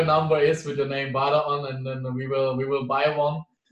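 The speaker has a German accent and a monotone, flat intonation. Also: man. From Germany. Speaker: interviewer. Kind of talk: casual interview.

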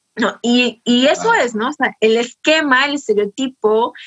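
A woman speaks in a high pitch with lively intonation. Her pace is fairly slow. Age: 30s. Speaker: podcast co-host, family business manager. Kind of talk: casual chat.

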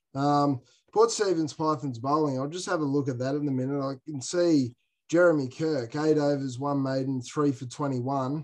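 This man has an Australian accent and a fairly high pitch. He moves at a moderate pace with fairly even intonation. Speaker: cricket player, guest. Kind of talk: casual chat.

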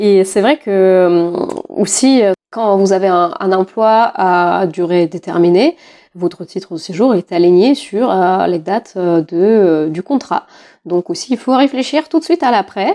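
Speaking at a very slow pace, a woman with a medium pitch and a dark, mellow tone uses lively intonation over a quiet background, with a dry, close sound and no echo. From Russia. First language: Russian (speaking French). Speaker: podcast host. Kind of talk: casual chat.

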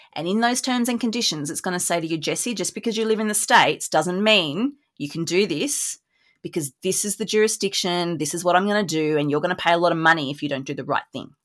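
With an Australian accent, a woman talks at a very fast pace with a fairly low pitch and lively intonation, on a very clean recording with a silent background. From rural New South Wales, Australia. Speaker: business lawyer. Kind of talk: interview.

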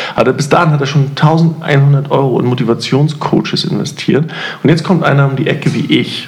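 Audible room echo and noticeable background noise surround the recording. The man's pitch is fairly high. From East Germany. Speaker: podcast host. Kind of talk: casual chat.

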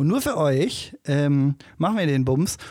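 A man at a fairly slow pace with very wide pitch swings, on a very clean recording with a silent background. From Salzgitter, Lower Saxony. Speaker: podcast co-host. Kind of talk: casual chat.

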